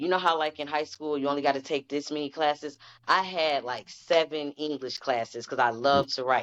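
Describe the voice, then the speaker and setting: Her pitch is very deep and low for a woman, and she speaks at a fairly quick pace. Intonation stays fairly even. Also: quiet background. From US Midwest, Detroit. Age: 30s. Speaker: poet. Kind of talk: casual chat. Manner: nonchalant tone.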